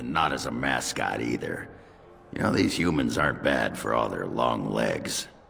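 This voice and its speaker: In a cartoonish character voice, a man speaks at a moderate pace, raspy and very deep in pitch, with clear background noise. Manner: gruff, hearty.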